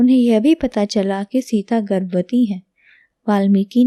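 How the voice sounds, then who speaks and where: Soft-spoken, a woman uses a dark, mellow tone. Her pitch is fairly high. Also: dry, close sound with no echo, quiet background. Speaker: language teacher. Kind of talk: reading aloud.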